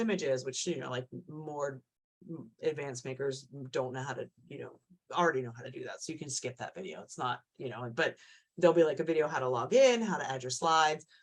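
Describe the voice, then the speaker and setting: Lively intonation shapes this speech. The speaker is a woman. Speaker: event organizer. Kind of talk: online info session. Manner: fast; filler-heavy, many likes and ums.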